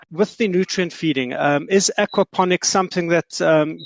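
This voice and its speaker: In a South African accent, a man speaks at a moderate pace with fairly even intonation, the sound dry and close with no echo. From South Africa, Johannesburg. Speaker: audience member asking questions, small-scale farmer. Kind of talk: audience question. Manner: hesitant with fillers.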